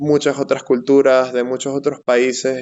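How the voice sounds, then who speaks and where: A man speaks with monotone, flat intonation. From Venezuela, Caracas. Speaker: software/STEM professional. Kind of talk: interview. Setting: live stream.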